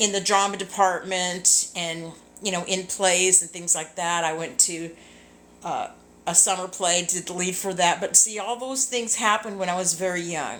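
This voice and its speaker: A woman speaks at a medium pitch with fairly even intonation. Her pace is fairly slow. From Southern California. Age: 60s. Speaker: singer and ministry leader. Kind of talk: casual live video chat. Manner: rambling, hesitant with fillers.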